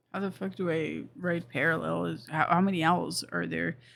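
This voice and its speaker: The speaker has a non-native accent and a moderate pace. The recording is very clean, with a silent background. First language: not English. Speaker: game streamer. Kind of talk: live gameplay stream chat. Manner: casual, halting with fillers.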